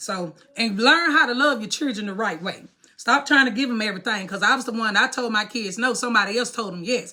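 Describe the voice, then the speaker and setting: A woman speaks at a very fast pace with a fairly high pitch and ordinary pitch variation. Noticeable background noise runs behind her. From Mississippi. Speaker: vlogger. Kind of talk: casual monologue to camera. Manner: animated.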